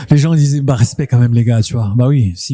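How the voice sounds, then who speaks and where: A man of medium pitch with fairly even intonation. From Le Havre, Normandy, northern France. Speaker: rapper. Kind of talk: casual interview chat. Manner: rolls extra Rs in words; repeats words, hesitant.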